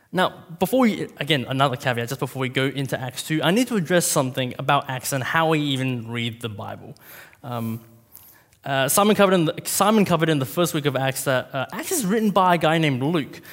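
Speaking very fast, this man uses a pitch that sits fairly high. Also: lively intonation. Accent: Australian. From Australia, Vietnamese parents. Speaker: preacher. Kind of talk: sermon. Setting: church.

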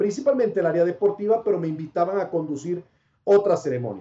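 Lively intonation marks this man's speech in a northern Mexican accent. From Panama. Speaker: sports broadcaster. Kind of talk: casual interview.

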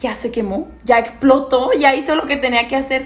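Speaking fairly slowly, a woman's voice sits high in pitch. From Mexico, Guanajuato (Pénjamo). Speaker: podcast co-host. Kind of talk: casual chat.

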